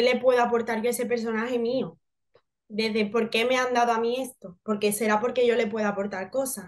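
With an Andalusian accent, a woman speaks at a fairly high pitch and fairly even intonation over a quiet background. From Seville, Andalusia, Spain; Andalusia, Spain. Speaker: actress. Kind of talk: interview. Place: home room. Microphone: video call.

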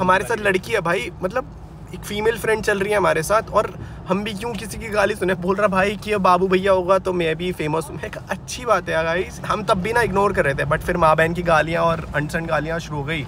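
This man has a high pitch and ordinary pitch variation, speaking at a moderate pace in a dry sound with no echo, with noticeable background noise. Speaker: vlogger. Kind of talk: casual vlog chat, storytelling. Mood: upset, recounting a fight. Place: car. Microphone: phone near.

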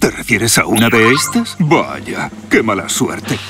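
In a cartoonish character voice, a man speaks at a fairly low pitch and a fairly slow pace, his bright, sharp tone making big pitch swings over faint music in the background.

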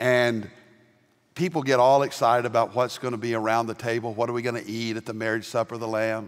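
In an American accent, a man talks very fast at a medium pitch with monotone, flat intonation over a quiet background. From US South. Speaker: pastor. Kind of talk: sermon. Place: church. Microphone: headset.

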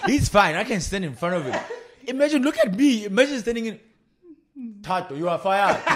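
A man speaks at a high pitch with very wide pitch swings, a fairly quick pace and long, frequent pauses. Noticeable background noise is present. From South Africa. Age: 30s. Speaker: podcast co-host. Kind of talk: casual chat. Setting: studio. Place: home room. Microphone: studio mic.

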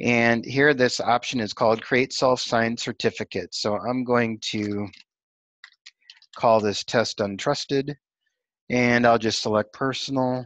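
A man talks at a fairly slow pace with monotone, flat intonation, recorded dry and close with no echo against a quiet background. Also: medium pitch for a man. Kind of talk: screen-recorded technical tutorial demo. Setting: screen recording with narration.

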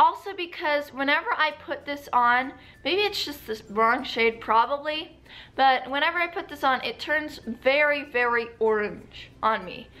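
A woman's raised, projected voice, high-pitched, with an American accent, fairly slow pace and lively intonation. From United States. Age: young. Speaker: beauty vlogger. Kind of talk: casual talk to camera. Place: home room. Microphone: phone near.

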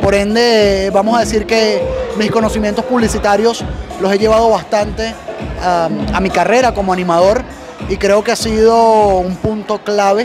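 Clear music plays behind a man speaking at a moderate pace. His pitch is high and his intonation monotone and flat. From Venezuela. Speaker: event MC, radio announcer and advertising professional. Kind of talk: interview answer. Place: hall. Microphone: handheld.

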